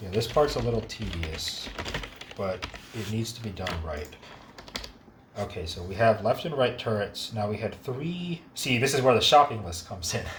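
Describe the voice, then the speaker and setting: Lively intonation and big swings in loudness mark this moderate-paced speech, broken by long, frequent pauses. Noticeable background noise runs underneath. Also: man, medium pitch for a man. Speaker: game modding tutor. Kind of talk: tutorial.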